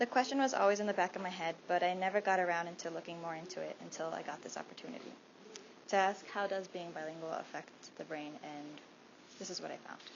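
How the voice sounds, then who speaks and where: This woman has a medium pitch, a fairly quick pace and ordinary pitch variation. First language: Spanish. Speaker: student presenter. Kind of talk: class presentation talk. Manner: halting.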